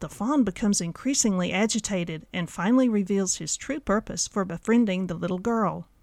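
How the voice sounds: It is a natural reading voice. Pitch varies in an ordinary way.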